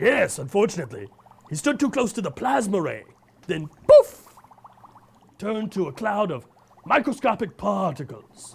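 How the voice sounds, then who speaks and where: Using a cartoonish character voice, a man speaks with high pitch at a moderate pace, leaving long, frequent pauses. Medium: puppet. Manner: formal, enthusiastic.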